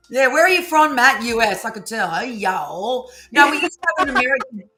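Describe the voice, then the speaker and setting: A woman speaks in a raised, projected voice with an animated tone, high pitch and very wide pitch swings. Her pace is very fast. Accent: Australian. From Australia. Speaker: psychic card reader, live stream host. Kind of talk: casual live stream chat.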